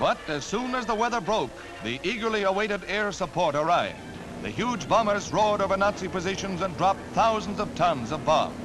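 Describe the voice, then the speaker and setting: A high-pitched man with an American accent, fairly quick pace and ordinary pitch variation, with music in the background. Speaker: newsreel narrator. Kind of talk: wartime newsreel narration.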